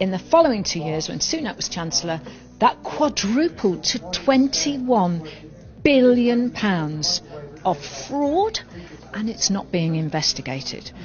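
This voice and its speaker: A woman with a British accent at a medium pitch, her voice making very wide pitch swings at a fairly slow pace, over noticeable background noise. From UK. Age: 60s. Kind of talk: interview. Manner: animated.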